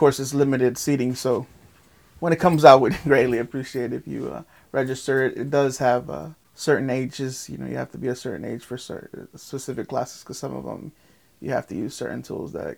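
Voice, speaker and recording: A man speaks at a fairly quick pace and medium pitch with vocal fry. His loudness swings widely while his pitch varies in an ordinary way. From Guatemala, raised in Lake Worth, Florida. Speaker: local artist and festival organizer. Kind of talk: casual interview.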